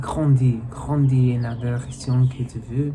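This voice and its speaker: Amid noticeable background noise and audible room echo, a man talks at a very slow pace in a medium pitch with fairly even intonation. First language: English (speaking French). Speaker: video blogger, language learner. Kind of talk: personal reflective monologue. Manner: halting, many hesitations and restarts.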